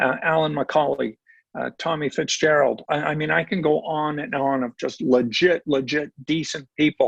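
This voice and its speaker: Speaking at a moderate pace in an ordinary speaking voice, a man uses fairly high pitch with ordinary pitch variation. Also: dry, close sound with no echo. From Ontario, Canada. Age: 60s. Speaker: retired sports broadcaster. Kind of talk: podcast interview. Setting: podcast.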